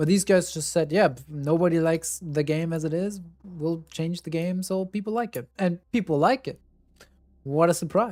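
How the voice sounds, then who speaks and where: A man with a German accent speaks at a moderate pace in a high pitch. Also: ordinary pitch variation. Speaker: streamer. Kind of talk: casual chat.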